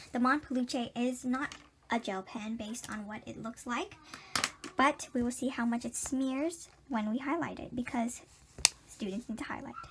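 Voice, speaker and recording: Over noticeable background noise, a woman speaks at a moderate pace and high pitch with ordinary pitch variation. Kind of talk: product review talk to camera.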